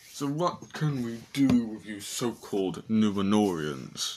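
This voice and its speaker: A man puts on a booming character voice, medium in pitch, and speaks at a fairly slow pace. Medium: solo performance. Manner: imperious.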